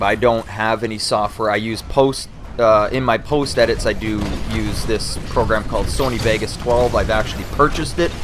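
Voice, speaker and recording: At a moderate pace, a man talks with a Canadian accent. Background noise is noticeable. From Canada. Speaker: gaming YouTuber. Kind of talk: Q&A video monologue. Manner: casual, with many fillers and repetitions.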